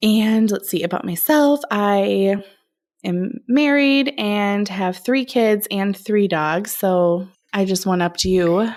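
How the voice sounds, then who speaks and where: A woman talks at a very slow pace with a medium pitch and ordinary pitch variation. The recording is very clean, with a silent background. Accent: Minnesotan. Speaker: speech-language pathologist, podcast co-host. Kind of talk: casual chat.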